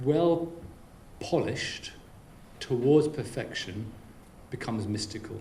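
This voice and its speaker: The man's voice sits at a medium pitch with ordinary pitch variation, moving at a fairly slow pace with long, frequent pauses. Noticeable background noise and audible room echo are present. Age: 50s. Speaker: keynote speaker. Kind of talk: audience Q&A. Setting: business lunch with audience.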